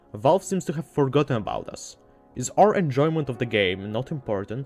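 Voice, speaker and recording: There is music in the background. A man speaks at a moderate pace in a fairly high pitch. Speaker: gaming video essayist. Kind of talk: video essay narration.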